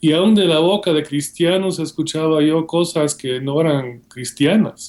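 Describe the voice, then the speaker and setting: In a very clean recording with a silent background, a man with a Guatemalan accent speaks very slowly at a fairly high pitch with ordinary pitch variation. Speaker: seminary professor and author. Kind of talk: interview.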